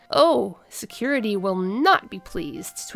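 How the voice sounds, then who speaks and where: A woman uses a put-on character voice at a medium pitch. She goes at a fairly slow pace. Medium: read story. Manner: formal, stilted.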